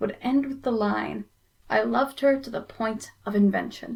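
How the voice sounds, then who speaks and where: Her pitch fairly high, a woman speaks in a plain, everyday voice with ordinary pitch variation. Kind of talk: spoken word poetry performance.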